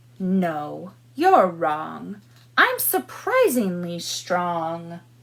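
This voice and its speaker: A woman's put-on character voice, fairly low in pitch and very slow. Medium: read story.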